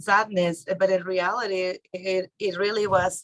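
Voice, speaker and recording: In a Mexican accent, a woman speaks at a fairly slow pace and medium pitch with monotone, flat intonation. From Mexico. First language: Spanish. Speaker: real estate investor and author. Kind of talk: interview. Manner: halting.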